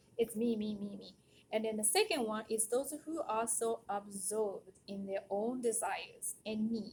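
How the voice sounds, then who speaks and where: A woman with a Japanese accent speaks in a somewhat breathy voice at a fairly high pitch, with fairly even intonation. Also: fairly slow pace. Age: 40s. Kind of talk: casual monologue.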